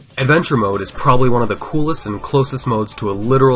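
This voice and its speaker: A man's very fast speech with ordinary pitch variation over music in the background. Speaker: speedrunner and video essay narrator. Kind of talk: gaming video voice-over narration.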